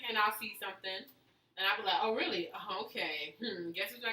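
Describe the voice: Simple, plain reading aloud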